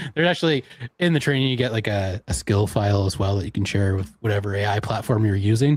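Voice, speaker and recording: Talking at a very fast pace, a man with a Canadian accent uses lively intonation in a somewhat breathy, fairly low voice. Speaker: online marketing presenter. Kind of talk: live stream tech demo. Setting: live stream.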